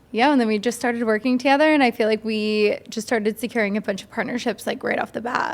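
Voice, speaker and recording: A woman rattles on at a very fast pace with hardly any pauses, her fairly high voice fairly even in intonation but swinging widely in loudness, over noticeable background noise. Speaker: podcast host and talent manager. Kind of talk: casual chat. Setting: studio.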